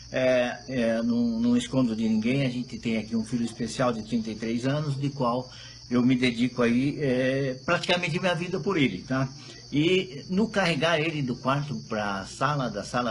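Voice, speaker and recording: Against noticeable background noise, someone talks at a fairly slow pace. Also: man. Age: 60s. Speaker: moringa producer. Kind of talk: casual chat; testimony.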